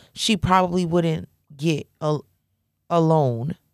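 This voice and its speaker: A woman talks at a very slow pace in a very clean recording with a silent background. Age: 30s. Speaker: married couple podcast co-host. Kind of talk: casual chat.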